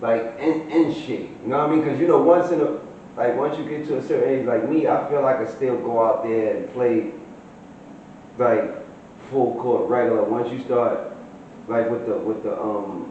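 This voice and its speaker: At a moderate pace and medium pitch, a man with a New York accent speaks with ordinary pitch variation over noticeable background noise and audible room echo. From Brooklyn, New York. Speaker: interviewer. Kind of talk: casual interview. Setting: in-person interview.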